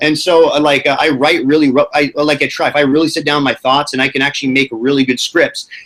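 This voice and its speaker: Speaking very fast with hardly any pauses, a man keeps a very even loudness and a monotone, flat intonation at a fairly high pitch. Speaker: YouTuber and podcast host. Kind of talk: casual chat. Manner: halting, stumbles over words.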